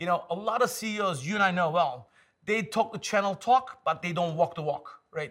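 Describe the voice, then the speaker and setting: A man with a Turkish accent, high-pitched, at a moderate pace with ordinary pitch variation. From Istanbul, Turkey. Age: 50s. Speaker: tech executive. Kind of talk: casual interview. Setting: in person studio.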